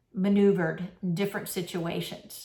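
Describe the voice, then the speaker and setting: Somewhat breathy, a woman speaks at a fairly slow pace and a medium pitch. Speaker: minister. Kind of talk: sermon. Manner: conversational.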